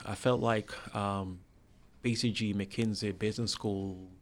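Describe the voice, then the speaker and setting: In an American accent, a man speaks at a fairly low pitch. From Jamaica (Spanish Town). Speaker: restaurant entrepreneur and former executive. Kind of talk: interview. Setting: studio.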